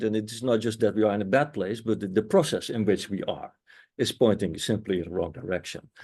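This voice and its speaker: A man with a Dutch accent speaks in a fairly low voice. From Netherlands. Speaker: anthropology professor. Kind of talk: panel discussion. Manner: hesitant, many fillers.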